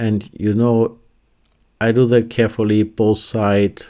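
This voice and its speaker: A fairly slow, fairly even man's voice with a German accent, a fairly low pitch and a dark, mellow tone, on a very clean recording with a silent background. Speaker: fly tying instructor. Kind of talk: tutorial. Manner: halting, with fillers and restarts.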